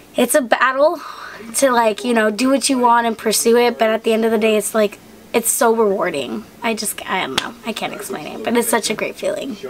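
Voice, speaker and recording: The speaker talks at a fairly quick pace with ordinary pitch variation. Noticeable background noise runs under the voice. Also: woman, fairly high pitch for a woman. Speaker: vlogger. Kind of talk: casual Q&A vlog. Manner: chatty, lots of fillers.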